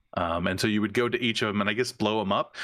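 Here a man speaks with a fairly low pitch. His tone is bright and sharp. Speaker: video game podcast co-host. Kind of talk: casual chat.

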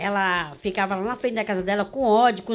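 In an ordinary speaking voice, a woman talks at a fairly quick pace with lively intonation. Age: 50s. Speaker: actress. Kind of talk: casual chat.

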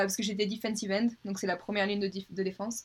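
The intonation is monotone and flat. A woman speaks at a medium pitch. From southern France, Avignon. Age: 20s. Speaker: American football player. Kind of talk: casual chat.

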